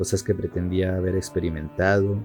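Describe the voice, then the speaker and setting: A man speaks at a moderate pace in a fairly low voice, with music playing behind him. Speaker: narrator. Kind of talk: horror story narration.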